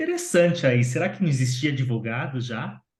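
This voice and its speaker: A man speaks with a Brazilian accent in a dark, mellow tone. His voice is somewhat breathy. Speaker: lawyer. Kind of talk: interview. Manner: animated.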